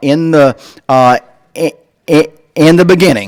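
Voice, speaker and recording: Recorded dry and close with no echo, a man with a Southern US accent speaks with ordinary pitch variation. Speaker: comedian. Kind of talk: stand-up.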